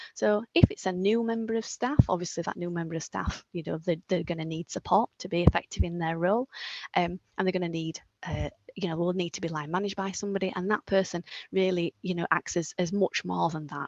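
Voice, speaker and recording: A fairly quick pace with ordinary pitch variation, in a dry, close sound with no echo. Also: woman, fairly low pitch for a woman. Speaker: apprenticeship advisor. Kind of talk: webinar presentation. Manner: fast; hesitant, many fillers.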